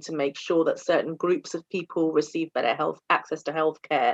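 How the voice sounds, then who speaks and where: A woman with a British accent speaks against a quiet background. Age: 40s. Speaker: general practitioner doctor. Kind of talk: interview conversation.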